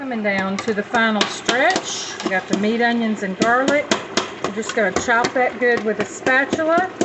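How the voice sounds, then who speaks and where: A woman with a Southern US accent, fairly high in pitch, at a moderate pace with ordinary pitch variation, over noticeable background noise. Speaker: home cook and meal-prep business owner. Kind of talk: cooking tutorial. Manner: casual, conversational.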